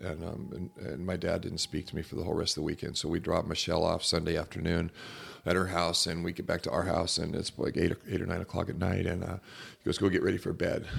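A man with an American accent talks at a very fast pace with a very deep, low pitch. His voice carries vocal fry, and his intonation is fairly even. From Southern California (Laguna Beach) and Mexico. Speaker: pastor and former outlaw biker. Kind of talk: casual chat.

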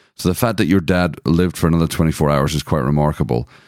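Speaking with a Scottish accent, a man has a very deep, low pitch and ordinary pitch variation. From Scotland. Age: 40s. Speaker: podcast co-host. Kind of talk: casual chat. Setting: home recording room.

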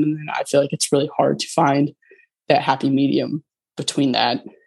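A woman talks at a fairly quick pace in a very deep, low pitch. Her intonation stays monotone and flat. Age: 20s. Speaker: suicide loss survivor. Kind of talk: casual chat.

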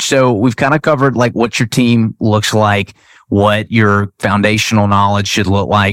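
A man's normal speaking voice, fairly low and fairly slow, with fairly even intonation and very even loudness, in a dry, close sound with no echo, on a very clean recording with a silent background. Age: 30s. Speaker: podcast host. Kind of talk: interview.

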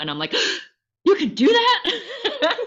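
A woman with an American accent speaks with vocal fry and very wide pitch swings. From US Midwest (Illinois). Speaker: incoming podcast host, health coach. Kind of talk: casual chat. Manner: animated, laughs often.

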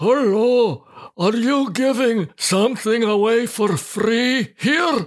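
Putting on a character voice, the man goes extremely high in pitch and talks very slowly. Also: ordinary pitch variation. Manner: disguised, altered voice.

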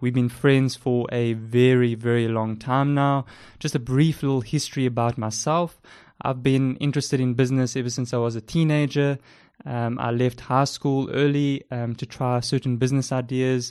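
With a South African accent, a man at medium pitch speaks at a moderate pace in a monotone, flat intonation over a quiet background. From South Africa, Port Elizabeth. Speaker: podcast host, freelance web developer. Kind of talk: casual chat, intro episode. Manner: hesitant, filler words.

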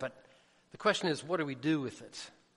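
A man with a Southern US accent. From US South, Jackson. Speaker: missionary preacher. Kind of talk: sermon.

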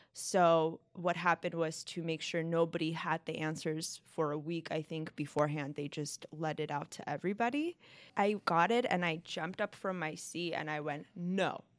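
A woman with an American accent and an ordinary speaking voice speaks at a moderate pace in a fairly low pitch with fairly even intonation, over a very clean, silent background. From Los Angeles, California. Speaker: law clerk. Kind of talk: casual chat.

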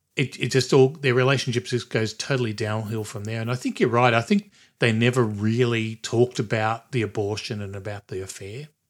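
On a very clean recording with a silent background, a man speaks at a fairly quick pace with hardly any pauses. His pitch is medium and his intonation fairly even. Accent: Australian. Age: 60s. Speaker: podcast host. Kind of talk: casual chat.

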